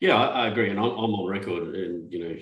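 A man speaks with fairly even intonation. There is audible room echo around his voice. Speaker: podcast host. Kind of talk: casual chat. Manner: halting. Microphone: video call.

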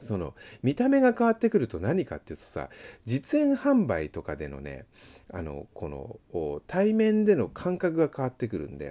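Against a quiet background, a man talks at a moderate pace with big swings in loudness. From Japan, Yokohama; Japan. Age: 40s. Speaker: seal engraver and channel host; channel host. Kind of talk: casual monologue while working. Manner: casual, chatty. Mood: relaxed, reflective. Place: shop. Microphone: phone near.

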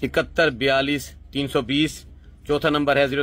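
The speaker is a man. He has a fairly high pitch. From Pakistan, Punjab (Multan); Punjab, Pakistan. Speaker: herbal medicine seller. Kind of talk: sales pitch. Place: shop. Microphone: phone near.

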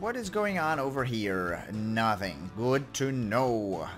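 A man's voice with very wide pitch swings, music in the background. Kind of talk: video game let's play commentary.

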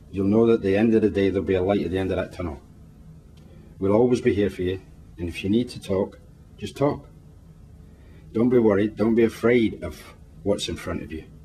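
A fairly low male voice with a Scottish accent, dark, mellow, warm and somewhat breathy, with long, frequent pauses. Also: ordinary pitch variation, fairly quick pace, big swings in loudness. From Scotland. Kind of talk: comforting words spoken to camera. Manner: warm, reassuring.

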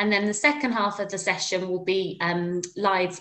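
This is a woman's voice. She keeps a moderate pace. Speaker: webinar host. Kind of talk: webinar introduction. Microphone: webcam.

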